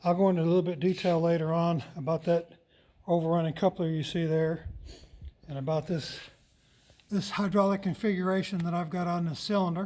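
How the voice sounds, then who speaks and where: A man with a high pitch talks at a fairly quick pace in a dark, mellow tone. He leaves long, frequent pauses. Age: 60s. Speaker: tractor collector and mechanic. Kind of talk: casual tutorial walkthrough. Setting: shop.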